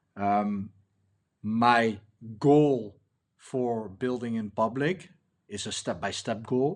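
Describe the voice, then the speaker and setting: At a very slow pace, a man speaks at a medium pitch with ordinary variation over a quiet background. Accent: Dutch. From Netherlands. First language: Dutch. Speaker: indie app builder, coach. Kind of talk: casual vlog, unscripted walkthrough. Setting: recording at laptop. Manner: halting, many fillers.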